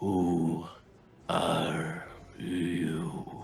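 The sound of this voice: A man puts on a character voice that is raspy and very deep. Echo is audible in the recording.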